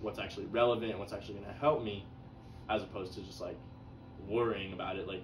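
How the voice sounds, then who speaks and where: A man with a fairly low voice talks very fast, with fairly even intonation, big swings in loudness and long, frequent pauses. The room echo is audible and the background noise is noticeable. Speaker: psychology student. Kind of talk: casual chat. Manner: halting.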